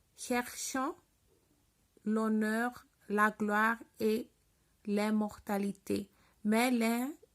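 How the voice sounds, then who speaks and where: A woman with a non-native accent at a fairly high pitch, very slow pace and long, frequent pauses, fairly even intonation, in a very clean recording with a silent background. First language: not French (speaking French). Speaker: French learner reading the Bible. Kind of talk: reading aloud. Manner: halting.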